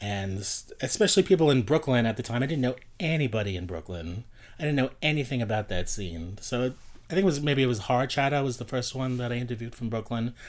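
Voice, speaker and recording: In a New York accent, a man talks at a very fast pace with lively intonation on a very clean recording with a silent background. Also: medium pitch for a man. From Queens, New York City. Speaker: nightlife blogger. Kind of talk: casual chat.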